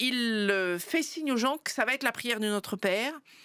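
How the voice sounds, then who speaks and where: Her tone bright and sharp, a woman speaks at a moderate pace on a very clean recording with a silent background. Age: 60s. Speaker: pastor. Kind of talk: interview.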